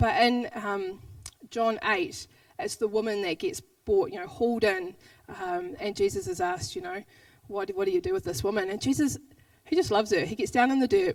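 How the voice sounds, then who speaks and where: Speaking in a New Zealand accent at a fairly quick pace, this voice swings very widely in pitch and takes long, frequent pauses. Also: woman, fairly high pitch for a woman. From New Zealand, Southland. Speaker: pastor. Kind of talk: sermon. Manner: fast.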